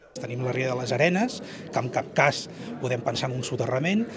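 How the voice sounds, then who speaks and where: There is noticeable background noise. The talking proceeds at a moderate pace. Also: man. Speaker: geography lecturer. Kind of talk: interview answer. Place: classroom.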